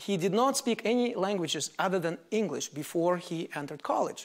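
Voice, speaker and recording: A man with a Russian accent, high-pitched, at a moderate pace, against a quiet background. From Soviet Union. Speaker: mathematics professor. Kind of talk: lecture. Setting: lecture hall with audience. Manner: formal, explanatory. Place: hall. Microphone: lapel.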